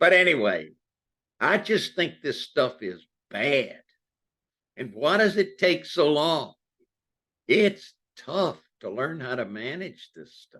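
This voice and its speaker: At a very slow pace with long, frequent pauses, a man speaks in a bright, sharp tone with vocal fry, a fairly high pitch, very wide pitch swings and big swings in loudness. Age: 80s+. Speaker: retired psychology professor. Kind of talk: Q&A answer in a lecture talk. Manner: reflective.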